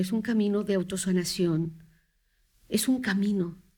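Her tone is dark and mellow, her pitch medium for a woman. She speaks at a moderate pace with ordinary pitch variation. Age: 50s. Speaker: psychotherapist. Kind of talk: interview, explaining.

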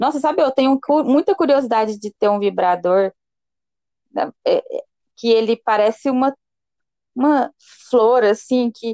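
A woman talks at a moderate pace. Her voice shows ordinary pitch variation. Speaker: podcast co-host. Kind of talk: casual chat. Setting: remote call with delay. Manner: talkative, interrupts.

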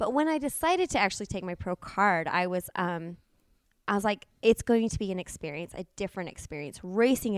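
In a very clean recording with a silent background, a woman speaks at medium pitch and a fairly quick pace, with an animated tone, lively intonation, and a dry, close sound with no echo. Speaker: triathlete and coach. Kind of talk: casual chat.

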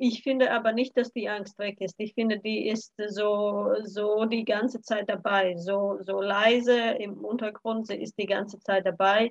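In a Latvian accent, a woman speaks at a fairly slow pace and a fairly high pitch with monotone, flat intonation, the sound dry and close with no echo. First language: Latvian (speaking German). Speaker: cultural mediator. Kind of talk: casual chat.

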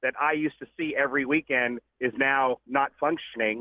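Here is a man with an ordinary speaking voice. He keeps a moderate pace and fairly even intonation. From Houston, Texas. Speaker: car club leader. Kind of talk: casual phone interview. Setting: phone call.

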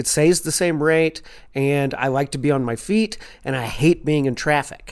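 In a Kentucky accent, a man speaks at a fairly slow pace and fairly high pitch with ordinary pitch variation, on a very clean recording with a silent background. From Louisville, Kentucky. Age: 40s. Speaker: comedian. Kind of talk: casual chat.

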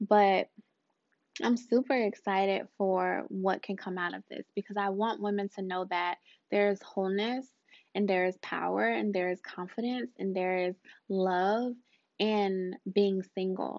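A woman with an unremarkable speaking voice talks fairly slowly, her medium pitch showing ordinary variation. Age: 30s. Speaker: podcast host and life coach. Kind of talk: casual monologue. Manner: warm, conversational with fillers.

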